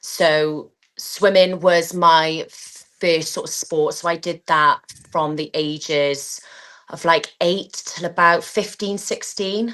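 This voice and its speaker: A woman's fairly low voice with a slight Welsh accent, very slow pace and fairly even intonation. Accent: slight Welsh twang. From Wales. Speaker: athlete and PE teacher. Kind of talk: interview.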